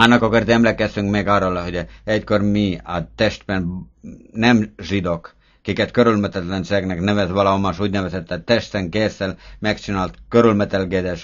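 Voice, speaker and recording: With a monotone, flat intonation, a man speaks at a moderate pace in a fairly low pitch. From Estonia. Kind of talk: prayer based on scripture reading.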